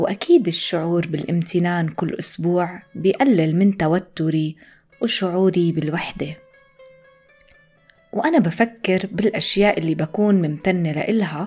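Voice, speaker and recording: With music in the background, a woman with a Jordanian accent talks at a fairly slow pace in a fairly low pitch, with ordinary pitch variation. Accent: Levantine Arabic (Jordanian). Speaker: Arabic teacher, podcast host. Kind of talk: scripted language-lesson reading.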